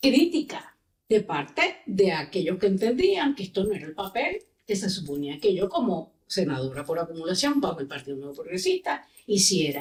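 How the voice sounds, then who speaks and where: Somewhat breathy, a woman talks at a medium pitch and moderate pace. Her pitch swings very widely. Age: 60s. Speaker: politician and lawyer. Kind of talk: podcast interview.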